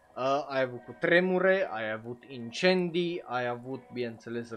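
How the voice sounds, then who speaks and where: Over music in the background, a man talks at a fairly slow pace with lively intonation. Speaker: anime streamer and podcaster. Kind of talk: live stream commentary. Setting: live stream on Twitch. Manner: casual, filler-heavy (uh).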